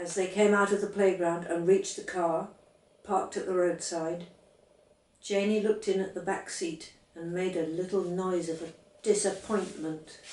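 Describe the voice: A woman speaks at a fairly low pitch with fairly even intonation and a slightly mellow tone, and the room echo is audible. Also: fairly slow pace.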